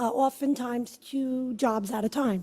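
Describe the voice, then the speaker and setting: A woman with a Brooklyn accent, high-pitched with a dark, mellow tone, fairly even intonation and a very slow pace. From Brooklyn, New York. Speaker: judicial candidate, attorney. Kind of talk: campaign speech.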